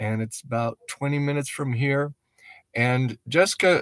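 Against a quiet background, a man speaks at a fairly slow pace. His intonation is fairly even, and the sound is dry with no echo. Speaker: missionary vlogger. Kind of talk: casual vlog chat. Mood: reflective, grateful. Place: car. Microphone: phone near.

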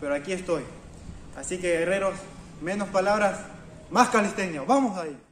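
With light background noise and audible room echo, a high-pitched man speaks at a moderate pace with ordinary pitch variation. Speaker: fitness channel host. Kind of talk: motivational vlog talk. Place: garden. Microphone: camera far.

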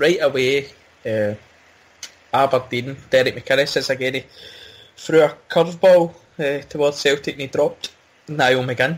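With a Glasgow accent, a man speaks in a fairly high pitch at a moderate pace. His pitch variation is ordinary. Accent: Scottish (Glasgow area). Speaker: football podcast host. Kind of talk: casual chat.

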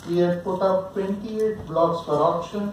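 Speaking at a very slow pace, a man with a high pitch is heard over light background noise with audible room echo. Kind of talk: formal speech. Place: hall. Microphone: podium.

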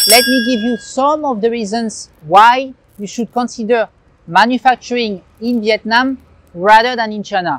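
At a fairly slow pace, a man speaks in an extremely high pitch with ordinary pitch variation, the sound dry with no echo and light background noise. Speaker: presenter. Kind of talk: presenter explainer. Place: street. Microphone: lapel.

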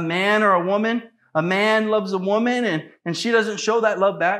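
A man speaks in a raised, projected voice with a bright, sharp, animated tone. The background is quiet. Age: 30s. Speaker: missionary preacher. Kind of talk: sermon. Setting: church. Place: church.

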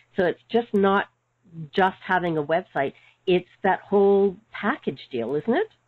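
A woman talks in a normal speaking voice at a medium pitch. Her intonation is lively and her pace fairly slow. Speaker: webinar host, practice management mentor. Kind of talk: webinar interview.

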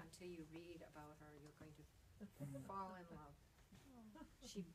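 Over noticeable background noise, a woman talks at a fairly slow pace in a somewhat breathy voice with ordinary pitch variation. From Saskatchewan, Canada. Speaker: novelist. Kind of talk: author talk at bookstore. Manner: casual, warm. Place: shop.

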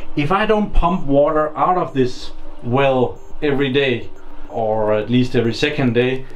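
As music plays behind him, a man talks, his pitch varying in an ordinary way. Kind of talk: tutorial. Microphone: phone near.

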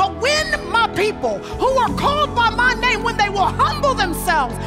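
Loud music plays in the background. A woman speaks over it at a moderate pace. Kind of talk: sermon. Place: stage. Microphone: headset.

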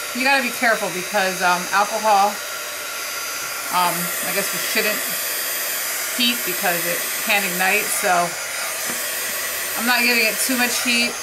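A woman at a moderate pace, with long, frequent pauses, over loud background noise. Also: ordinary pitch variation. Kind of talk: tutorial. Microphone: camera far.

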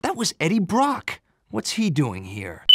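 Using a put-on character voice, a man speaks at a fairly slow pace in a high pitch, with very wide pitch swings and a slightly husky edge.

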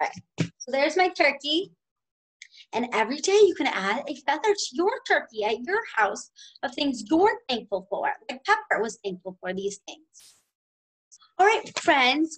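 Against a quiet background, a woman with a high pitch talks at a fairly slow pace, her voice making very wide pitch swings. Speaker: preschool teacher. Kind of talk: remote lesson for young children. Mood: warm, encouraging. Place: classroom. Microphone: webcam.

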